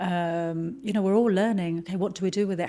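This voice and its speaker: In a British accent, a woman talks at a very fast pace with a dark, mellow tone, medium pitch and fairly even intonation. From Lebanon, moved to UK at twelve. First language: Arabic and French. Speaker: marketing executive. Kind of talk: podcast interview.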